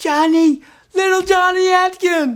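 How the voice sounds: This is a put-on character voice, shrill and extremely high in pitch. It moves at a fairly slow pace.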